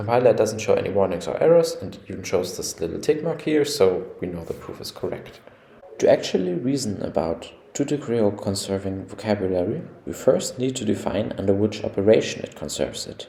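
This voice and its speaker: Over noticeable background noise, a man's voice shows big swings in loudness. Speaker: computer scientist. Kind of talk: technical explainer narration.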